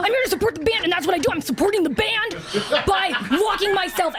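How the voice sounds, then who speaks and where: Over loud background noise, a woman in a put-on character voice talks very fast at an extremely high pitch. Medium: actual play. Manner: halting, apologetic, earnest.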